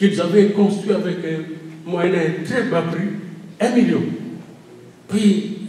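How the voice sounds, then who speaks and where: A man at a very slow pace, ordinary pitch variation, with audible room echo and light background noise. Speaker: preacher. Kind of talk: sermon. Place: hall.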